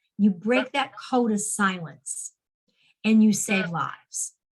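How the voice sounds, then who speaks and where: A woman with a medium pitch sounds somewhat breathy, her pitch varying in an ordinary way. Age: 60s. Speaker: suicide prevention advocate. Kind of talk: interview.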